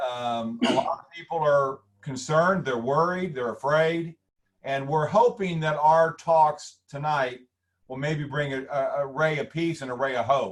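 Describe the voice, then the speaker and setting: A man with a fairly high pitch sounds somewhat breathy, speaking at a fairly slow pace and varying his pitch in an ordinary way. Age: 60s. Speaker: webinar host, former stockbroker. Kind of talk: webinar interview.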